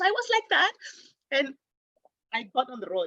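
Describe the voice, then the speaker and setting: An animated woman's voice, bright and sharp, with very wide pitch swings in a dry, close sound with no echo. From Africa. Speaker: spiritual teacher. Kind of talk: personal storytelling. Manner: fast.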